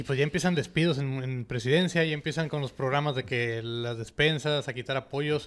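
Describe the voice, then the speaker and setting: Moving at a fairly quick pace with hardly any pauses, a man with an unremarkable speaking voice talks at a fairly high pitch with fairly even intonation. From Mexico, Nuevo Laredo (Tamaulipas); Tamaulipas, Mexico. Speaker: podcast host. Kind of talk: interview. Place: studio. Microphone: studio mic.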